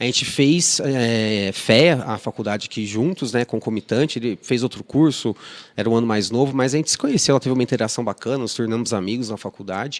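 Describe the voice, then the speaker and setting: In an interior São Paulo accent, a man speaks at a medium pitch and a fairly quick pace with ordinary pitch variation, in a dry, close sound with no echo on a very clean recording with a silent background. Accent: mineiro-like interior São Paulo. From Ribeirão Preto, São Paulo state, Brazil. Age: 30s. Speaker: restaurant association executive director. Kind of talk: podcast interview. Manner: hesitant, many fillers and repetitions.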